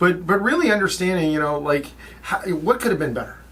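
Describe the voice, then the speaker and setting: There is noticeable background noise behind a man speaking. His pitch varies in an ordinary way. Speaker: podcast co-host. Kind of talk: casual chat. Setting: studio. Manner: fast; animated.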